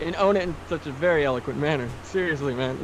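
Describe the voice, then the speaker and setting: Noticeable background noise sits behind a man speaking with an American accent. His pitch is fairly high, his pace moderate, and his intonation fairly even. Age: 30s. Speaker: podcast guest. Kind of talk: casual chat.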